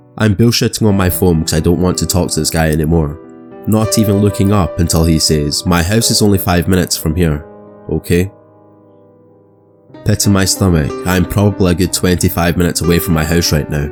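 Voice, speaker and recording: Over background music, a man with a Scottish accent talks fairly quickly in a very deep, low pitch, with very even loudness and ordinary pitch variation. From Scotland. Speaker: horror narrator. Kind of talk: horror story narration.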